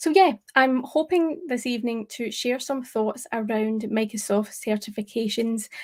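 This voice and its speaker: A woman speaks with a Scottish accent at a fairly slow pace, her pitch fairly high with ordinary variation. The recording is very clean, with a silent background. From Scotland. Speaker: tech presenter. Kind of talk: live stream talk. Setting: live stream.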